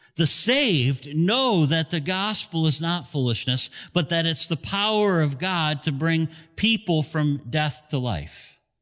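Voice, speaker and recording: Over music in the background, a man speaks fairly slowly at a fairly high pitch, with lively intonation and very even loudness. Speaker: pastor. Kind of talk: sermon. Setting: church with broadcast. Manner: earnest, direct altar-call appeal, slow and pleading; conversational, expository teacher.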